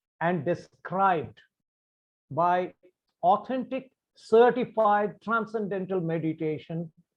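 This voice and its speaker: A high-pitched man speaks with a Bengali accent. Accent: Indian English, Bengali. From India, Bengal. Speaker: meditation practitioner sharing his views. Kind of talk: talk to camera on meditation. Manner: formal.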